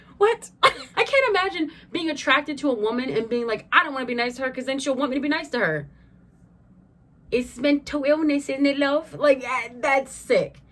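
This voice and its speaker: Animated in tone, a woman speaks at a high pitch with ordinary pitch variation. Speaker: youtuber. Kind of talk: casual vlog monologue. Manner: fast.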